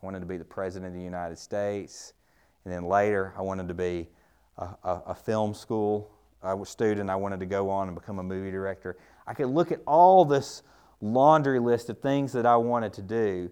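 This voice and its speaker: A man with a dark, mellow tone and fairly low pitch speaks against a quiet background. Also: ordinary pitch variation, big swings in loudness. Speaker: professor and speaker. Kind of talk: sermon-style Bible talk with prayer. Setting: church gathering with audience. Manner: conversational, with hesitations and humor.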